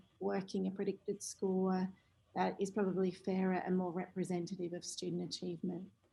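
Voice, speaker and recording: A woman speaks in an Australian accent at a medium pitch, her intonation fairly even. Her voice is somewhat breathy. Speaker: teacher. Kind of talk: online workshop discussion. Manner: soft-spoken. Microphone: too quiet.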